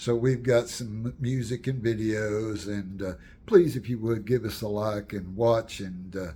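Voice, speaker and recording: Somewhat breathy and dark, mellow in tone, the voice comes with an American accent, a fairly slow pace and fairly even intonation. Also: man, fairly low pitch for a man. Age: 70s. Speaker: storyteller and channel owner. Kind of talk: casual personal storytelling to camera. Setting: home, with wife's paintings behind. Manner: halting, many fillers and restarts.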